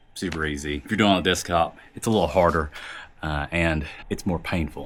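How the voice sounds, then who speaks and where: A man talks at a fairly quick pace. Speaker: tech reviewer. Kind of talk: product review vlog. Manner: casual.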